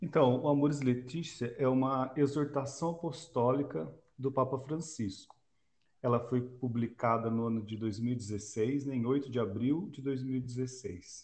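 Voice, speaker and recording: The voice comes out somewhat breathy and very slow, its pitch varying in an ordinary way. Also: man, medium pitch for a man. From Brazil, Londrina (Paraná). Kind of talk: casual religious discussion.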